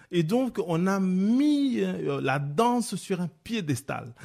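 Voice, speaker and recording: The speech comes at a very slow pace, somewhat breathy, with very wide pitch swings. The recording is very clean, with a silent background. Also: man. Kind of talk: radio discussion. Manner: animated, interrupting.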